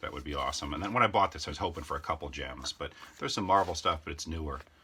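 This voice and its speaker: Over noticeable background noise, a man speaks at a very fast pace in a very deep, low pitch with ordinary pitch variation. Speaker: YouTuber showing a yard sale comic haul. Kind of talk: casual walkthrough video.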